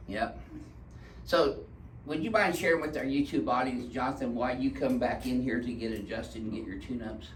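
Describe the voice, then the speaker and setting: A man talks at a fairly quick pace. Room echo is audible around his voice. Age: 60s. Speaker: chiropractor. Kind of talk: casual chat with patient for video.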